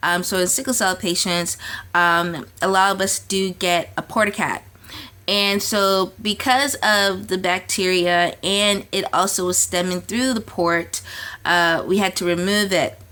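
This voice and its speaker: A woman speaks at a fairly slow pace with fairly even intonation and a bright, sharp tone. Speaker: lifestyle coach and artist vlogger. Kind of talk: casual vlog update. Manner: hesitant, many fillers.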